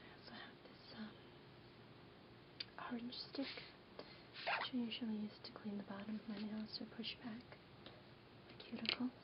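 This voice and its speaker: Whispering at a fairly slow pace, a woman leaves long, frequent pauses and shows big swings in loudness. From New York. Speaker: ASMR creator. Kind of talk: ASMR show-and-tell, casual talk to camera. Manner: whispered, soft-spoken, quiet.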